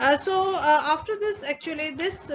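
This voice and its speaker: A woman's moderate-paced speech, with ordinary pitch variation, comes through clear background noise. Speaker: conference paper presenter. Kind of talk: technical presentation. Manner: halting, many fillers.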